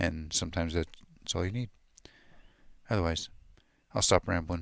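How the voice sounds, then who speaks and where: A man's quiet mumbling at a very deep, low pitch. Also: fairly even intonation, moderate pace. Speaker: music gear youtuber, livestream host. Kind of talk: casual livestream tutorial chat.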